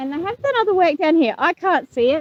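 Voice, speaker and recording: Fairly quick speech with lively intonation and an Australian accent. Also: woman. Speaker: homesteader. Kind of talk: vlog narration. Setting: outdoors. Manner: loud hollering.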